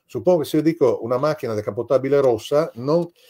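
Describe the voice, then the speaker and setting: A man's dark, mellow tone is heard against a quiet background. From Italy. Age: 60s. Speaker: novelist; guest. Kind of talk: interview. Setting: video call. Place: home room. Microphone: video call.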